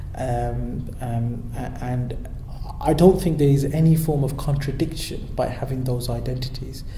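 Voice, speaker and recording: In a room with audible echo and noticeable background noise, a man speaks fairly slowly at a medium pitch with fairly even intonation. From Birmingham, England. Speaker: local councillor. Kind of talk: interview. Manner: hesitant, many repeated words.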